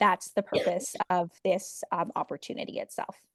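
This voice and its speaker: Recorded with a dry, close sound and no echo, a woman talks. She keeps a moderate pace. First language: not English. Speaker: midwife and program organizer. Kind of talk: online info session Q&A. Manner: casual, many fillers (um).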